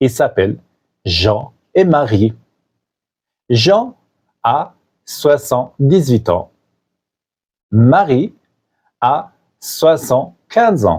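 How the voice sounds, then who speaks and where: A man's very slow, fry-laden voice, with long, frequent pauses and very wide pitch swings. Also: medium pitch for a man, very even loudness. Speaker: French teacher podcaster. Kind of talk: scripted narration for language learners. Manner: clear, simple.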